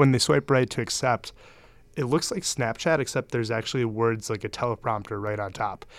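In an unremarkable speaking voice with an American accent, the speaker talks at a fairly quick pace with ordinary pitch variation, on a very clean recording with a silent background. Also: man, medium pitch for a man. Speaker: startup founder and CEO. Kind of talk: casual interview.

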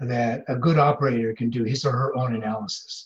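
A somewhat breathy voice with an American accent, at a moderate pace with ordinary pitch variation. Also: man. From US Midwest (Iowa). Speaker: former intelligence officer, professor. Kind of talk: interview.

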